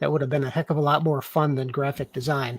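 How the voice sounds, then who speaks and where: Somewhat breathy, a man talks at a fairly quick pace in a dry, close sound with no echo. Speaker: talk show host. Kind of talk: casual interview. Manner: halting, self-interrupting.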